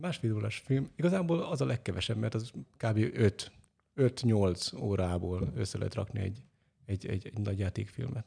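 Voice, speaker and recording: Fairly low in pitch, this man has a dark, mellow tone that is somewhat breathy. His intonation is lively, his pace moderate, and he leaves long, frequent pauses. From Great Hungarian Plain. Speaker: film editor. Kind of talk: casual chat.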